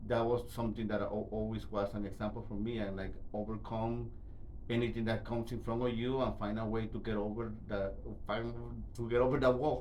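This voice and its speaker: A man with a medium-pitched voice speaks fairly quickly in a monotone, flat intonation, with audible room echo around him. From Guatemala. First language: Spanish. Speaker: interview guest, immigrant. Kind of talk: interview. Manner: halting, many repetitions.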